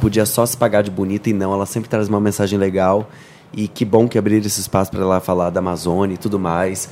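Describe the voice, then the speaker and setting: Pitched fairly low, a man speaks at a very fast pace. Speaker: podcast guest. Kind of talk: casual chat.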